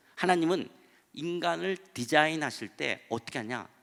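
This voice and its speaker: A man speaks at a fairly slow pace in a bright, sharp tone, his pitch swinging very widely. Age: 60s. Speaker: pastor. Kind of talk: sermon.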